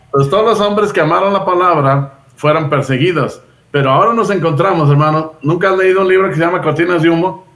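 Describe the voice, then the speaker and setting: Amid noticeable background noise, a man with a high pitch speaks at a fairly quick pace, with ordinary pitch variation and very even loudness. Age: 60s. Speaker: Bible teacher. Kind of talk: casual chat.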